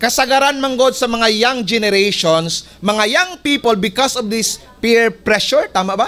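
In a raised, projected voice of extremely high pitch, a man talks with an animated tone, ordinary pitch variation and a moderate pace, with hardly any pauses. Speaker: pastor. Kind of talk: sermon. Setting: church. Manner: animated, exhortative preaching with call-and-response ("Can you say amen?"); switches between Cebuano and English. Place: church. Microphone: podium.

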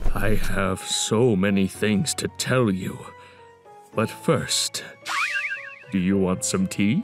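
Using a put-on character voice, a man speaks very slowly at a fairly low pitch, with clear music in the background. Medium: fan dub. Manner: grandfatherly, solemn, earnest.

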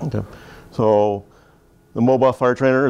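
A man with a Canadian accent talks at a very fast pace in a dark, mellow tone. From Canada. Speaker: fire trainer instructor. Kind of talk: classroom equipment training briefing. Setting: classroom with small group. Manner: informal, conversational, inviting questions. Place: classroom.

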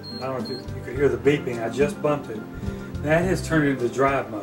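A man at a very fast pace over clear background music. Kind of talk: casual demonstration and thanks. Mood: grateful, upbeat. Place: home room. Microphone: camera far.

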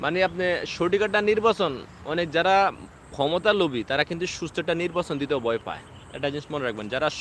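This is an ordinary speaking voice. Its pitch variation is ordinary too. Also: man. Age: 20s. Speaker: political commentator on YouTube. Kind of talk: live-stream political monologue. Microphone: no microphone, speaking into device.

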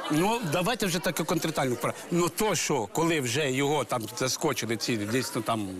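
Over crowd noise in the background, the speaker moves at a moderate pace with very wide pitch swings and hardly any pauses. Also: man, fairly high pitch for a man. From Ukraine. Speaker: village head. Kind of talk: talk show testimony. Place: studio. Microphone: lapel.

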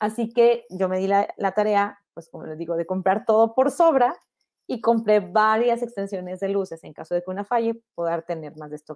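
A woman with a plain, everyday voice, medium in pitch, talks at a moderate pace with ordinary pitch variation and big swings in loudness against a quiet background. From Mexico, Monterrey; Nuevo León, Mexico. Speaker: photographer. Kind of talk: online lecture. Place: home room. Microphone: earbuds.

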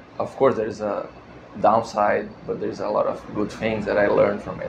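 Moderate-paced speech from a man, noticeable background noise behind it. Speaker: male pageant contestant. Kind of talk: self-introduction. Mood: friendly, relaxed. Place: studio.

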